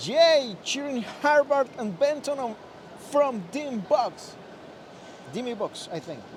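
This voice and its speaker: With noticeable background noise, a man talks at a very slow pace in an extremely high pitch, with long, frequent pauses and big swings in loudness. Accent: Spanish. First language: Spanish. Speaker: live stream host. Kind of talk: live stream chat. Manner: halting.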